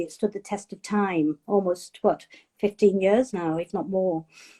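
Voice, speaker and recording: The sound is dry and close with no echo as a woman with a Cumbrian accent talks at a moderate pace, her medium-pitched voice dark and mellow in tone. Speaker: chef and food writer. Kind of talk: interview.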